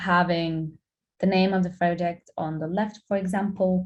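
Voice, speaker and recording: A woman with a Lithuanian accent speaks at a fairly low pitch and a fairly slow pace. Her voice is somewhat breathy against a quiet background. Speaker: graphic designer. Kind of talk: guest lecture.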